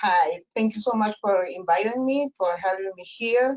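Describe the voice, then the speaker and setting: Woman with a Peruvian accent at a moderate pace, with ordinary pitch variation. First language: Spanish. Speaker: professor and family therapist. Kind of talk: interview. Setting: webinar. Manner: halting, many fillers.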